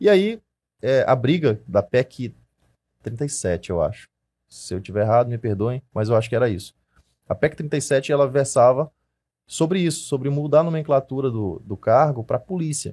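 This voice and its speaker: A man's somewhat breathy voice at medium pitch, dark and mellow in tone, with lively intonation, a moderate pace, long, frequent pauses and a dry, close sound with no echo. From Maranhão, Brazil (Imperatriz). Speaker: firearms instructor and police investigator. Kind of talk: casual interview chat.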